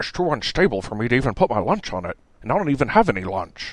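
Using a put-on character voice, a man rattles along at a very fast pace around a medium pitch, with very wide pitch swings. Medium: read story. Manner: gruff, grumbling, crude.

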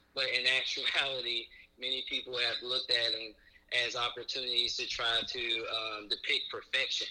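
Male speech at a moderate pace, noticeable background noise behind it. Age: 20s. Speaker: podcast listener. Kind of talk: casual chat.

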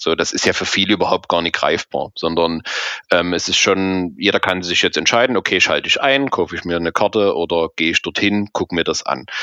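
A bright, sharp tone at a fairly quick pace, with a dry, close sound and no echo. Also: man. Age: 30s. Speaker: fan support activist. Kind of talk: interview. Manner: halting, many fillers.

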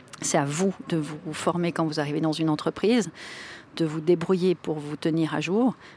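Over noticeable background noise, a woman with a fairly low pitch speaks at a moderate pace in fairly even intonation. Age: 40s. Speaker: board member and digital transformation consultant. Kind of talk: interview.

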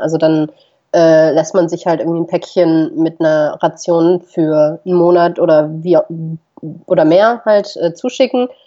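Her voice is an unremarkable speaking voice, a woman's, fairly low in pitch, with ordinary pitch variation and a moderate pace. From Germany, Düsseldorf. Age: 20s. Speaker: travel blogger and videographer. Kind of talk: casual interview.

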